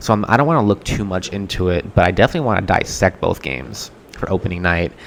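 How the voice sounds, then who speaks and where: Noticeable background noise sits behind a soft-spoken man with a very deep, low pitch. He talks at a very fast pace with lively intonation. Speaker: sports podcast host. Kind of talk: solo sports podcast talk. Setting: home, on a couch at night. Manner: soft-spoken, speaking quietly. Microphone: poor sound quality.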